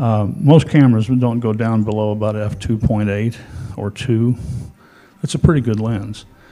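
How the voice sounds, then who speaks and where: Here is a man with an unremarkable speaking voice at a medium pitch. He goes at a fairly slow pace with fairly even intonation. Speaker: photography expert. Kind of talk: informative talk.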